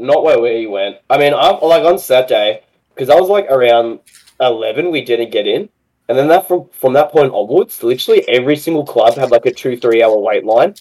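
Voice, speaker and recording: This is a man with an Australian accent. He talks at a moderate pace. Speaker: competitive gamer guest. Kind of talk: casual chat.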